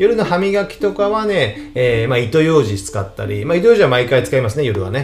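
Music plays in the background, and audible room echo surrounds a man with a fairly high pitch. He talks at a fairly quick pace with hardly any pauses and very wide pitch swings. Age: 40s. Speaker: tax accountant podcaster. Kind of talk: solo podcast monologue. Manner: casual, filler-heavy.

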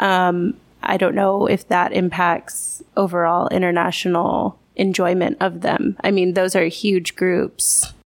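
A woman's unremarkable speaking voice with very even loudness, fairly even intonation, and hardly any pauses. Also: medium pitch for a woman, fairly slow pace. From Texas. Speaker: English teacher at a private academy. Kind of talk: casual chat. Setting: bar.

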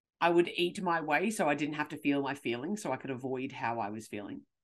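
Against a quiet background, a speaker with an Australian accent talks very fast in an animated tone with lively intonation. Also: woman. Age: 30s. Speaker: podcast host and confidence coach. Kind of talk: solo podcast rant.

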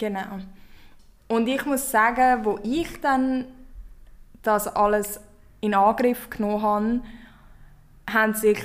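With fairly even intonation, a woman speaks very slowly in a fairly high voice. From Switzerland. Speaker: podcast host and company founder. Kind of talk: casual chat.

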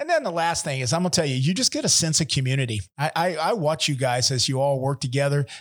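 Speaking at a fairly quick clip, a man with a warm, somewhat breathy, fairly high-pitched voice uses ordinary pitch variation on a very clean recording with a silent background. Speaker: podcast host. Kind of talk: interview. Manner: warm, conversational.

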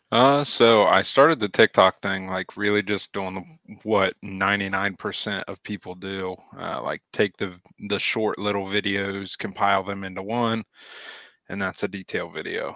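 In a rural Ohio accent, a man speaks at a moderate pace with a fairly low pitch and fairly even intonation. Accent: rural Ohio country. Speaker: auto detailer and business owner. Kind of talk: casual interview chat.

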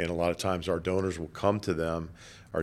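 A man's very deep, low voice in a flat monotone with an American accent, on a very clean recording against a silent background. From South Florida (Boca Raton). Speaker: nonprofit foundation president. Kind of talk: interview. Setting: office. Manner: hesitant, many fillers.

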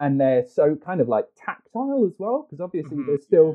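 His pitch rising and falling very widely, a man delivers his words fairly quickly. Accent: British. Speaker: film executive. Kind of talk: casual chat.

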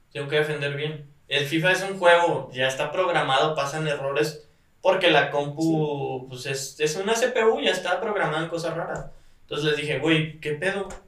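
There is audible room echo around a man speaking in a fairly high pitch. He keeps a moderate pace with ordinary pitch variation. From Mexico, Guadalajara (Jalisco). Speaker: professional esports player. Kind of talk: casual chat.

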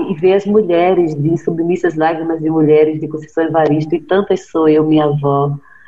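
A woman with an unremarkable speaking voice talks at a fairly low pitch and a moderate pace, with fairly even intonation and hardly any pauses. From Brazil, Recife (Pernambuco). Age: 40s. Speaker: writer. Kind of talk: interview.

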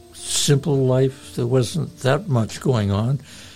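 A man talks very slowly while noticeable background noise runs underneath. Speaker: pastor and radio host. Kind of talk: radio sermon-style talk and interview.

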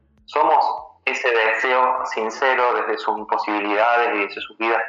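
A man at a moderate pace over background music. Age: 30s. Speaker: workshop facilitator on masculinities. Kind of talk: interview. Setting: phone call.

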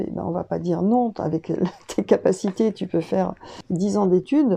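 Her tone is dark and mellow, at a medium pitch with ordinary pitch variation. The woman talks at a fairly slow pace. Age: 60s. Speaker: school founder and teacher. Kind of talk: interview. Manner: hesitant, many fillers.

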